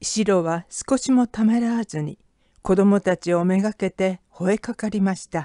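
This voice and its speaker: A woman speaks at medium pitch and a fairly slow pace, with ordinary pitch variation and a calm, dramatic tone that is also dark and mellow. The sound is dry and close with no echo, over a quiet background. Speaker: audiobook narrator. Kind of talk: literary audiobook reading, scripted narration of a short story. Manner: measured, steady storyteller pacing; expressive, shifting from calm scene description to tense, dramatic delivery.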